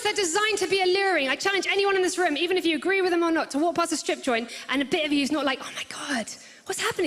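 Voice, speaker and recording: Her pitch is extremely high, and a woman talks at a very fast pace with ordinary pitch variation. Background noise is noticeable. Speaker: stand-up comedian. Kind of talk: stand-up comedy performance to a live audience.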